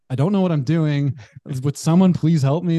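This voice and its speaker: The man's dark, mellow tone comes through a dry, close sound with no echo, with ordinary pitch variation. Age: 30s. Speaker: podcast host. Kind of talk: casual chat.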